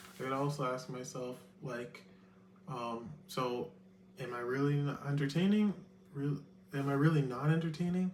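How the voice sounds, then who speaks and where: A man at a moderate pace with a fairly high pitch, ordinary pitch variation and long, frequent pauses, with audible room echo and noticeable background noise. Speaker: vlogger. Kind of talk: casual vlog monologue. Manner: proper; halting, many fillers.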